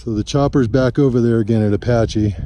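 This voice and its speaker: Speaking at a moderate pace, a man has a dark, mellow tone. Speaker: long-distance hiker vlogger. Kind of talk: casual video diary. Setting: outdoors on mountain trail. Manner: soft-spoken, speaking low.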